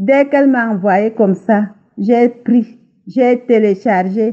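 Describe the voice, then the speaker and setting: Speaking at a very slow pace, a woman uses a fairly high pitch with ordinary pitch variation. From Cameroon. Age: 60s. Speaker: testimony giver. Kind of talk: testimony.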